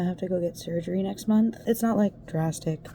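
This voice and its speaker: A woman speaks at a fairly low pitch and a moderate pace. Noticeable background noise is present. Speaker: crafting vlogger. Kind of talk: casual vlog talk. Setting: home sewing area.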